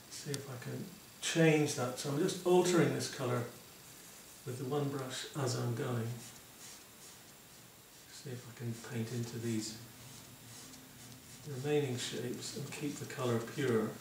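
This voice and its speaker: Amid noticeable background noise and audible room echo, a man speaks at a fairly slow pace with ordinary pitch variation and long, frequent pauses. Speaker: painting teacher. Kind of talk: tutorial.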